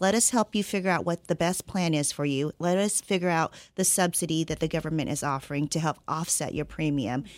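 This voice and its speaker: A woman with an unremarkable speaking voice uses lively intonation at a moderate pace. The recording is very clean with a silent background. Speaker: insurance client services director. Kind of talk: radio interview, informational discussion.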